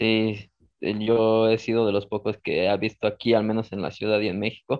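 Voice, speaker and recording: Monotone, flat intonation at a fairly slow pace. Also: man. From Mexico City. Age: 20s. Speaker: calisthenics athlete. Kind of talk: interview.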